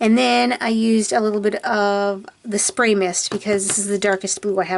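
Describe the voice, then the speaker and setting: Amid noticeable background noise, a woman mumbles at a moderate pace in a fairly high pitch. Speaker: craft video creator. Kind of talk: tutorial. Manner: mumbling; casual and chatty.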